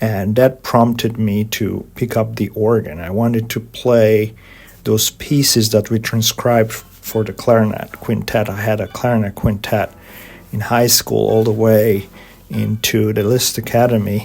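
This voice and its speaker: Over noticeable background noise, a man with a Hungarian accent speaks at a fairly slow pace with monotone, flat intonation. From Hungary, Budapest. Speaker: organist and composer. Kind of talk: interview. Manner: halting.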